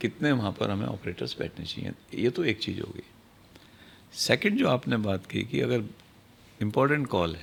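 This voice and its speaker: With vocal fry and a fairly low pitch, a man talks using lively intonation. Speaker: retired senior law enforcement officer. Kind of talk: podcast interview.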